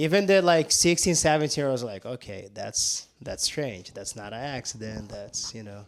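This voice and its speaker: This man speaks in a Portuguese accent at a moderate pace, barely pausing. His pitch swings very widely and his loudness rises and falls sharply. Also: medium pitch for a man. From southern Brazil. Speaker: jiu-jitsu instructor. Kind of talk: casual chat. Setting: on-location podcast at his gym.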